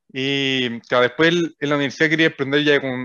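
Using a normal speaking voice, a man goes at a fairly quick pace with a fairly high pitch and fairly even intonation. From Chile, O'Higgins region (Rengo, Rancagua). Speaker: startup co-founder. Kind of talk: interview.

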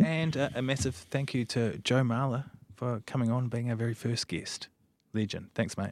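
The speech moves at a fairly quick pace. It comes with a New Zealand accent. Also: man. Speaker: podcast host. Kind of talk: interview.

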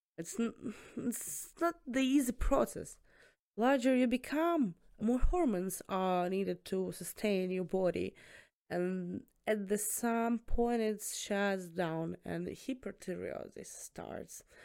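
In a very clean recording with a silent background, a woman with a strong Eastern European accent speaks at a very slow pace with lively intonation. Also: medium pitch for a woman. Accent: thick Eastern European. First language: Eastern European language, not English. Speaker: student nurse. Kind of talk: casual chat.

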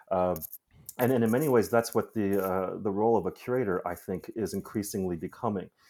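With a Midwestern accent, a man talks at a fairly quick pace in a dark, mellow tone, his pitch fairly low with ordinary variation. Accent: American, Midwestern. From US Midwest, Chicago. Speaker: curator. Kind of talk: interview. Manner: halting, many fillers and repetitions.

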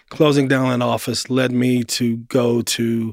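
A man speaks in an American accent at a medium pitch. His intonation is monotone and flat. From Baltimore, Maryland, US. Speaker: finance executive and community investor. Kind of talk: interview conversation.

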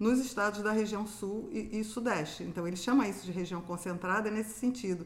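Pitched fairly high, a woman's plain, everyday voice carries ordinary pitch variation. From Rio de Janeiro, Brazil. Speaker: university professor. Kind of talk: casual interview.

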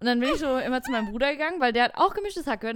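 Recorded very cleanly against a silent background, a woman speaks at a high pitch with lively intonation. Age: 20s. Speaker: podcast co-host. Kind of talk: casual chat.

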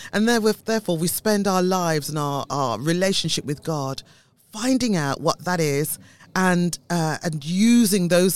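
In a British accent, a woman with a fairly low voice speaks at a moderate pace with lively intonation. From UK, Caribbean family background. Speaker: church denomination leader, former health service manager. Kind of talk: radio interview.

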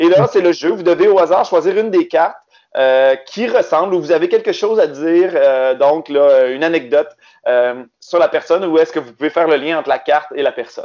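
A man with a Quebec accent, high-pitched, at a fairly quick pace. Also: ordinary pitch variation. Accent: Québécois. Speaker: game co-creator. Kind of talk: casual interview.

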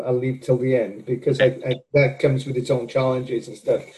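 Speaking in a Welsh accent, a man keeps a moderate pace. His voice is somewhat breathy. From Wales. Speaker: professor. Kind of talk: interview.

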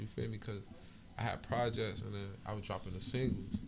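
A man with an American accent speaks at a very fast pace, with audible room echo. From Miami-Dade area, South Florida. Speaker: rapper. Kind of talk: casual interview chat.

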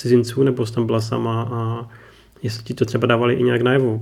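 A man talks with vocal fry. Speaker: podcast host. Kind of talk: interview.

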